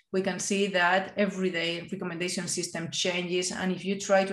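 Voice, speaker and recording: A woman with a Spanish accent talks at a medium pitch and a moderate pace. There is audible room echo over a quiet background. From Spain. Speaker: AI and digital innovation expert. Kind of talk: conference keynote. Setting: video call. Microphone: webcam.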